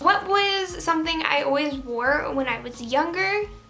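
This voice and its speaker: A woman speaks over music in the background, with audible room echo. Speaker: YouTuber. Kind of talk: Q and A vlog. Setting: home, window open. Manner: casual, filler-heavy.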